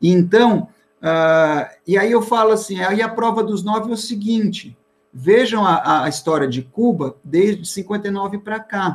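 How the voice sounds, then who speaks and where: A man's high voice, rather slow, its pitch rising and falling in an ordinary way. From Bahia until age 5, then São Paulo. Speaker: historian and professor. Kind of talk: interview. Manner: halting.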